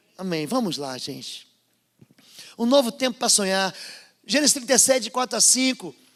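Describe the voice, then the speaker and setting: Speaking at a moderate pace with long, frequent pauses, a man uses lively intonation in an extremely high voice. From northern/northeastern Brazil. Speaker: pastor. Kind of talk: sermon. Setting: church service with congregation. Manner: animated.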